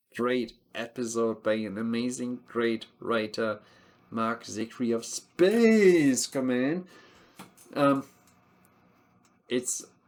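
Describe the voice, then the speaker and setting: A man with a medium-pitched voice and a non-native accent speaks with ordinary pitch variation, long, frequent pauses and big swings in loudness. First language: not English. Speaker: TV show reviewer. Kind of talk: casual review monologue. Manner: animated.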